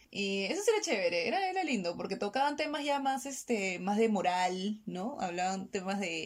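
Over noticeable background noise, a woman speaks at a medium pitch with lively intonation. She keeps a moderate pace with hardly any pauses. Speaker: podcast co-host. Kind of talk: casual chat.

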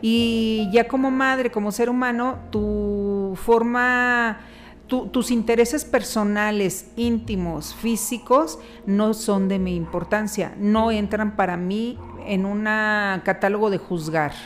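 Her pitch is fairly high for a woman, with ordinary variation, and she talks at a very slow pace. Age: 50s. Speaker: podcast host's mother. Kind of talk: interview.

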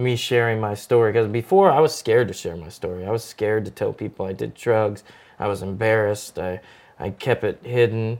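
On a very clean recording with a silent background, a man at medium pitch talks at a fairly quick pace with ordinary pitch variation. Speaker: actor and producer. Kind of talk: casual chat. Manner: energetic.

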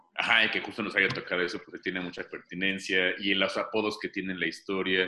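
A man with a bright, sharp tone and a Mexican accent. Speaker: playwright and actor. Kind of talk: casual chat.

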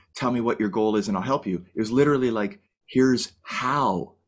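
A man with a Canadian accent, medium pitch and lively intonation at a moderate pace, on a very clean recording with a silent background. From Canada. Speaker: firefighter and goal-setting coach. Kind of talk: casual interview. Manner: animated.

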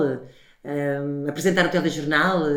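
A woman's monotone, flat delivery amid noticeable background noise and audible room echo. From Portugal. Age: 40s. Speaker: podcast host, television professional. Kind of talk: interview.

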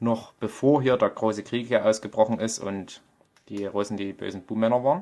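A man's dark, mellow tone at medium pitch, with a moderate pace, fairly even intonation and a strong Vogtland accent. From Vogtland, Saxony, Germany. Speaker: podcaster and poet. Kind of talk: casual monologue.

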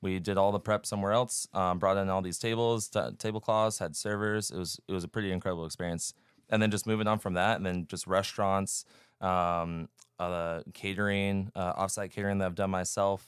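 A man with an American accent talks at a fairly quick pace in a fairly low pitch, using fairly even intonation and a plain, everyday voice. The recording is very clean with a silent background and a dry, close sound with no echo. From Northern California. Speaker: chef. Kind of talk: casual chat.

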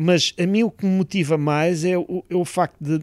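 Ordinary pitch variation in a man's high voice, with a very clean recording and a silent background. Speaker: engineering professor, satellite project leader. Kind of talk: interview. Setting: satellite ground station room. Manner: hesitant, many fillers.

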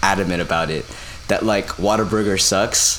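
With audible room echo and noticeable background noise around him, a man speaks at a fairly quick pace. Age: 20s. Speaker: podcast co-host. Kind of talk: casual chat.

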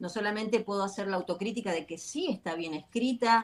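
A woman speaks in an ordinary speaking voice, with fairly high pitch and lively intonation. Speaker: author, life coach. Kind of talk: interview. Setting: video call.

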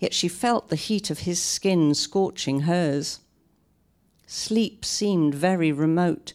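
In a very clean recording with a silent background, a woman with a British accent speaks at a very slow pace, her loudness very even and her pitch variation ordinary. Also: fairly low pitch for a woman. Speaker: novelist. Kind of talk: author reading and talk. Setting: live stage with audience at a library.

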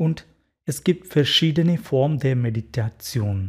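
The voice has a dark, mellow tone, somewhat breathy, with ordinary pitch variation. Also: man. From India, Kerala. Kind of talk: interview; guided meditation. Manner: halting.

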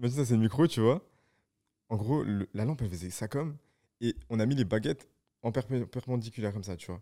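A man talks at a fairly quick pace in a medium pitch with a dark, mellow tone and long, frequent pauses. The recording is very clean, with a silent background. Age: young. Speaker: photographer, videographer and DJ. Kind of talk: casual chat.

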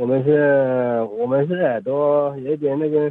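A man's voice, fairly high in pitch. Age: 40s. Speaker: radio caller with hearing loss. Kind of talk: phone call-in. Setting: phone call. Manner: halting.

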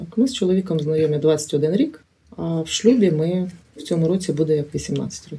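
A woman talks at a fairly low pitch and a moderate pace in an unremarkable speaking voice. Her loudness swings widely. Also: ordinary pitch variation. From Ukraine, Chernihiv. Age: 40s. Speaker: paramedic and community organization head. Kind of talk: interview testimony.

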